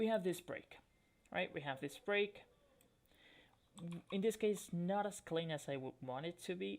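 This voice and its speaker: The speaker has a non-native accent and a fairly slow pace. Long pauses come often. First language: not English. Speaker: forex trading educator. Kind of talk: tutorial. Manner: hesitant, with frequent fillers.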